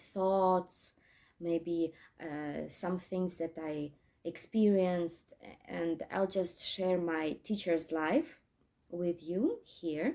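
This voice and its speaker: A woman speaks at a very slow pace in a fairly low, dark, mellow voice. Long, frequent pauses break up her fairly even intonation. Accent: Russian. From Crimea, Ukraine. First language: Russian. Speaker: English teacher. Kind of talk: casual vlog talk. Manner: halting, many fillers.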